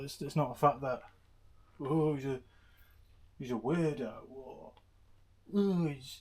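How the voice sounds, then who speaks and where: In an English accent, the voice is somewhat breathy and moves at a fairly slow pace. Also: man. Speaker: motorbike YouTuber. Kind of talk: casual vlog commentary. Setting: home garage. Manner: quiet, subdued; flat, bored-sounding.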